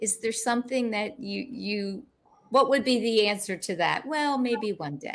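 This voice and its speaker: The voice is an unremarkable speaking voice, delivered fairly slowly. Its pitch varies in an ordinary way. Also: woman, fairly high pitch for a woman. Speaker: talk show host. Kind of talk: interview. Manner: warm, chatty with frequent fillers.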